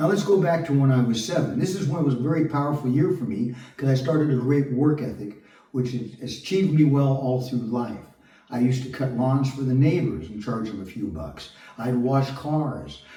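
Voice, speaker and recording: With audible room echo, a man talks at a fairly quick pace in a medium pitch with ordinary pitch variation. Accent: American. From Southern California (Long Beach). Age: 60s. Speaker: actor and construction worker vlogger. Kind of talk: personal monologue.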